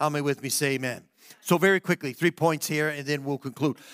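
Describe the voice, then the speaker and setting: On a very clean recording with a silent background and a dry, close sound with no echo, a man speaks in a fairly high pitch with an animated, warm tone and ordinary pitch variation. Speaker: pastor. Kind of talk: sermon. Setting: church. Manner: animated, warm and conversational, building to an earnest altar-call appeal.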